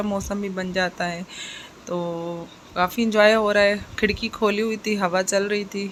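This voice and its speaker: Her intonation stays monotone and flat. The woman talks at a fairly slow pace. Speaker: vlogger. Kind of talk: vlog voice-over.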